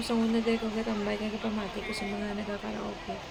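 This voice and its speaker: A woman with a Western Visayan accent at a fairly quick pace, with crowd noise in the background. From Philippines, Western Visayas (Hiligaynon-speaking). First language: Hiligaynon (speaking Tagalog). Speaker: vlogger, domestic helper; vlogger. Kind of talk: vlog walk-through. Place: street. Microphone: phone near.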